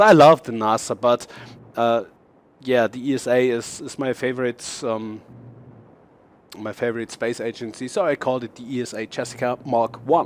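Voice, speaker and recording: The speaker has a German accent and keeps a moderate pace. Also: man. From Germany. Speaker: gaming YouTuber. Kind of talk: gameplay showcase commentary. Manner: halting, many fillers and restarts.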